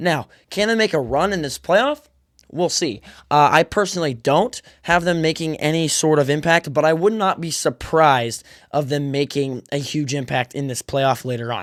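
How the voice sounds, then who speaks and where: A man speaks at a fairly high pitch with ordinary pitch variation. The sound is dry and close with no echo, in a very clean recording over a silent background. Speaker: sports podcaster. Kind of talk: casual sports commentary monologue. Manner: fast; animated.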